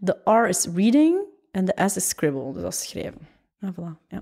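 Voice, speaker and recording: A woman's dark, mellow tone at a fairly quick pace against a quiet background. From Flanders, Waasland (Temse); Flanders, Belgium. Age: 20s. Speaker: fashion entrepreneur and author; podcast guest. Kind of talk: casual interview. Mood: relaxed, reflective. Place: home room. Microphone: studio mic.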